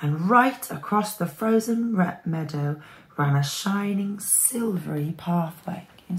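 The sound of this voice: In an unforced reading voice, the speaker delivers lively intonation.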